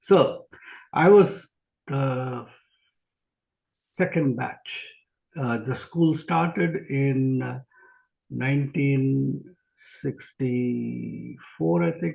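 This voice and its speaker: A man speaks at a very slow pace in an Indian accent. His pauses are long and frequent. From India (Jamshedpur). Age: 60s. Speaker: physician and speaker. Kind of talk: interview. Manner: hesitant, many fillers.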